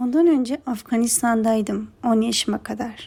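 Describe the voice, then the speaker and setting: A somewhat breathy woman's voice, fairly high in pitch yet dark and mellow in tone, at a moderate pace. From Afghanistan, then southern Turkey. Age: 20s. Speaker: interior design student. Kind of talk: interview answers.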